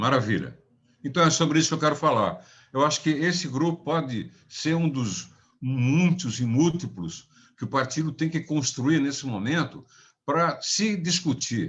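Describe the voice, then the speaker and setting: A man with a fairly high pitch and some vocal fry speaks at a fairly slow pace. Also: ordinary pitch variation. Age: 80s+. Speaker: political party member. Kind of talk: online class discussion.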